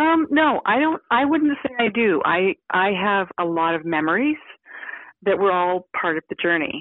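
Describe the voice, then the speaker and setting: A woman with a western Canadian accent speaks at medium pitch and a moderate pace. Her pitch swings very widely while her loudness stays very even. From Victoria, British Columbia, Canada. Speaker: hunter, TV co-host. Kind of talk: casual interview chat.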